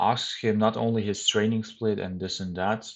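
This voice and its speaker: Delivery is neither fast nor slow. Pitch shifts only a little across the phrases. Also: man. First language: German. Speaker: bodybuilding youtuber. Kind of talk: casual vlog talk.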